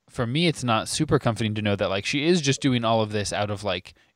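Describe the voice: Someone is doing plain reading aloud here.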